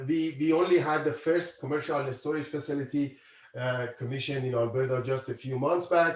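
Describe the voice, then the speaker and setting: A man has an unremarkable speaking voice with a fairly high pitch. His pitch variation is ordinary. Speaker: university professor. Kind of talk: lecture.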